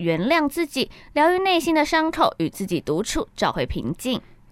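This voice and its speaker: Recorded very cleanly over a silent background, a woman talks at a moderate pace. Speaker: campus radio co-host. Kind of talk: casual chat with film synopsis reading.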